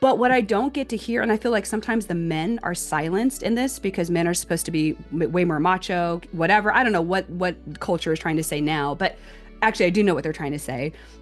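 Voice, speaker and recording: Over music in the background, a woman talks at a very fast pace. Her fairly low voice has lively intonation. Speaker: podcast host. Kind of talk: podcast interview questions.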